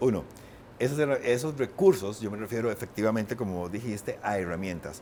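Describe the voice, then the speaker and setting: A man speaks with lively intonation. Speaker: painter and writer. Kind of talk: interview conversation. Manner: fast.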